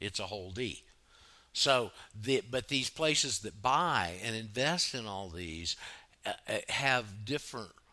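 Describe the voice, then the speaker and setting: Speaking at a fairly slow pace, a man has a Southern US accent. His tone is bright and sharp, with lively intonation. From US South, Florida panhandle. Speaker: radio host. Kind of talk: call-in talk radio. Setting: online radio studio, Skype calls.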